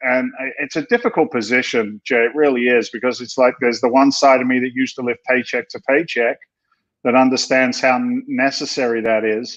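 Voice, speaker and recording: The man talks fairly quickly in a flat monotone. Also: medium pitch for a man. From England, London. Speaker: real estate investor. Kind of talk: podcast interview.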